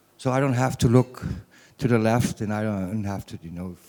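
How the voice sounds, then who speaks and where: A man's fairly low voice has a dark, mellow tone, recorded with a dry, close sound and no echo. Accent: German. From Germany, Bavaria (Würzburg). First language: German. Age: 50s. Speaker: cannabis patient speaker. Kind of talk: conference talk. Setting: conference room with small audience.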